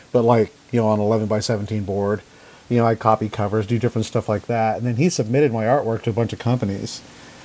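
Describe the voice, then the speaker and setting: A very fast voice with an American accent, dark and mellow in tone, its intonation fairly even. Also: man. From Idaho, US. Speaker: comic artist. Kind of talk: casual interview.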